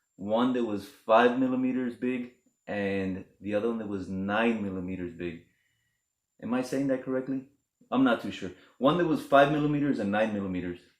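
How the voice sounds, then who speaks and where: A man speaks at a fairly quick pace in an ordinary speaking voice, medium-pitched with ordinary pitch variation, on a very clean recording with a silent background. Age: 30s. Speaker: vlogger. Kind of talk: casual vlog monologue. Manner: casual, conversational.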